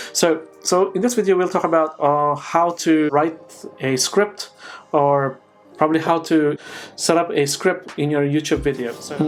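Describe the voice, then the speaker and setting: A man speaks in a non-native accent at a moderate pace. His pitch is fairly high, with ordinary variation. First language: not English. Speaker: YouTuber. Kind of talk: tutorial. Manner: unscripted, with fillers and restarts.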